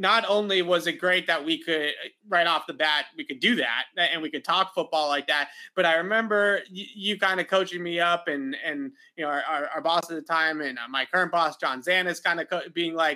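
A man speaks at a fairly quick pace, his fairly high pitch moving with ordinary variation in a bright, sharp tone.

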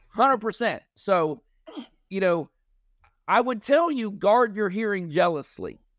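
A loud man with a high pitch and lively intonation talks at a very slow pace, with long, frequent pauses. The recording is very clean, with a silent background. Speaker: sound therapy company founder, army veteran. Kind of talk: casual interview chat.

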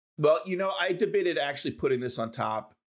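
A man talks at a fairly quick pace with lively intonation, recorded very cleanly against a silent background. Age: 50s. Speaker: tech podcast co-host. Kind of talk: casual chat. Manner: halting, repeats words.

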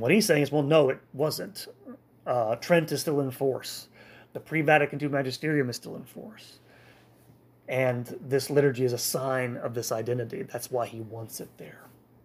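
A man with a plain, everyday voice and medium pitch talks at a moderate pace, with ordinary pitch variation and big swings in loudness. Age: 40s. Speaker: podcast host, church history. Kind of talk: history lecture. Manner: frequent filler words and restarts.

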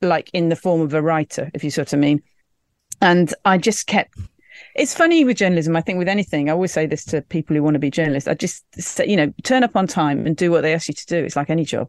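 A very fast English accent with ordinary pitch variation, in a dry, close sound with no echo. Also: woman, fairly low pitch for a woman. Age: 50s. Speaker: journalist. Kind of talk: casual chat.

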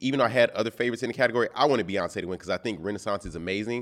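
A man's voice at a medium pitch. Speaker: chef and journalist. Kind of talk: casual chat.

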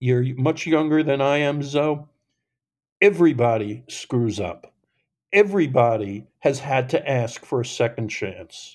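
A man with an American accent speaks in a normal speaking voice at a fairly slow pace. His pitch is fairly high, and the recording is very clean with a silent background. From New York, Long Island. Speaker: formerly incarcerated ex-stockbroker, nonprofit founder. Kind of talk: interview conversation.

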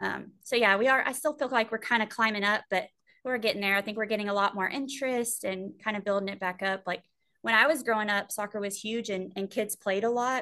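Against a quiet background, a woman with a Texan accent talks at a fairly quick pace in a fairly high pitch, her tone bright and sharp and her intonation fairly even. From Texas, Sweeny. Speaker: high school soccer coach. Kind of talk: casual chat.

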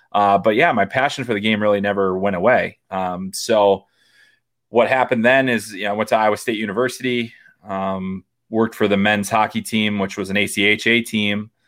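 This man has an ordinary speaking voice, fairly low in pitch, with an American accent, fairly even intonation and a moderate pace on a very clean recording with a silent background. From Chicago, US Midwest. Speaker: hockey prospect analyst and podcaster. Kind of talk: interview.

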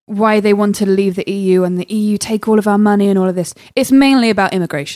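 A woman is heard in a very clean recording with a silent background, the sound dry and close with no echo. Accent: southern English. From southwest England, Swindon. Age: 20s. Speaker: comedian. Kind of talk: casual chat.

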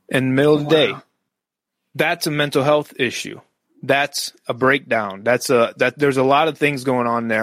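In an American accent, a man with a plain, everyday voice speaks at a medium pitch with fairly even intonation, in a very clean recording with a silent background and a dry, close sound with no echo. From US West, Las Vegas, Nevada. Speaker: Navy veteran and coach. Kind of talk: interview.

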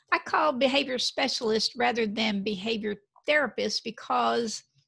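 With a slight Texan accent, a woman speaks at a fairly high pitch with vocal fry, her sound dry and close with no echo. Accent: slight Texas Southern. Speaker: behavior specialist. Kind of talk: interview. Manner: animated.

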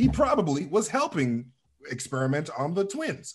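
This somewhat breathy voice moves at a moderate pace through very wide pitch swings. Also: man. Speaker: podcaster. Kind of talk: casual chat.

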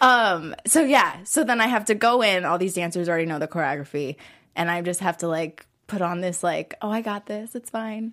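Speech comes at a fairly quick pace in a very clean recording with a silent background. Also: woman, medium pitch for a woman. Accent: Californian. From Southern California, Orange County. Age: 20s. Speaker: dancer in recovery from addiction. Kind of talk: interview. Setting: studio.

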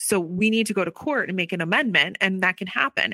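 A woman with an unremarkable speaking voice and an American accent speaks at a medium pitch with fairly even intonation, the sound dry and close with no echo on a very clean recording with a silent background. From US, Philadelphia area. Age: 40s. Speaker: abuse survivor and author. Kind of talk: personal testimony.

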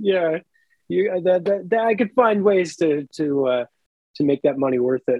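A man speaks at a moderate pace. His voice sits high for a man. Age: 30s. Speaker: actor and musician. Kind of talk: casual chat. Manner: halting.

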